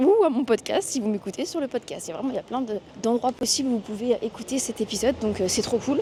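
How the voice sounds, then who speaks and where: A woman talks at a very fast pace. There is noticeable background noise. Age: 20s. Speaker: podcaster and vlogger. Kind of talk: casual walking vlog monologue. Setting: outdoors walking in city streets. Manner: casual with many hesitations.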